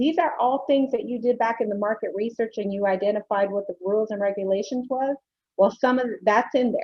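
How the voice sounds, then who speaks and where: A woman speaks fairly quickly at a fairly high pitch with ordinary pitch variation, an unremarkable speaking voice. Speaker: business workshop presenter. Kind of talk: webinar presentation.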